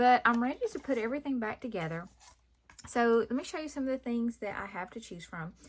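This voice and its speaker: In a very clean recording with a silent background, a woman with an American accent speaks at a fairly quick pace. Her fairly high voice is somewhat breathy, with lively intonation. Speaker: craft youtuber. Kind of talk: tutorial. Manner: casual, hesitant with many ums.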